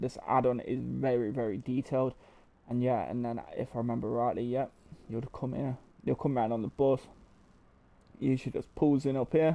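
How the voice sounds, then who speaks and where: At a fairly quick pace, a man with an East Midlands accent speaks at medium pitch with fairly even intonation. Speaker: gaming YouTuber. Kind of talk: casual game walkthrough commentary. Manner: hesitant, many fillers.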